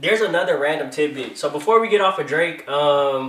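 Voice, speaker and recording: A man's fairly high voice at a fairly quick pace. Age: 20s. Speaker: podcast host. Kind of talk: casual chat. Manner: animated.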